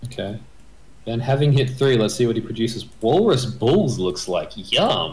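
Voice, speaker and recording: A man's voice sits at a medium pitch and is somewhat breathy. His pitch varies in an ordinary way. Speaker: game commentator. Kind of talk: live sports-style game commentary. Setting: video channel, recorded commentary. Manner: animated play-by-play, quick.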